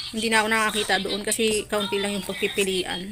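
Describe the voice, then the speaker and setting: Over music in the background, a woman with a medium pitch talks at a fairly quick pace in a monotone, flat intonation. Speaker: vlogger and sari-sari store owner. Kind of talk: casual vlog.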